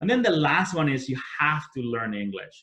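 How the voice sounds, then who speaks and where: The voice has a bright, sharp tone and a Spanish accent. It moves at a fairly quick pace with lively intonation. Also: man. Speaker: entrepreneur and business leader. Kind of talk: webinar talk.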